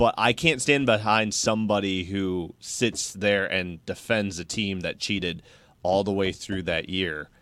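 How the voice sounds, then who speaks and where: A man with a plain, everyday voice speaks at a fairly slow pace and a fairly low pitch, with ordinary pitch variation. The recording is very clean with a silent background. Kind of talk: casual chat.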